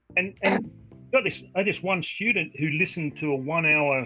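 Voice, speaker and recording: Over music in the background, someone talks at a fairly quick pace with an Australian accent. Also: man. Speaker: online English tutor. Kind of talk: casual video-call conversation.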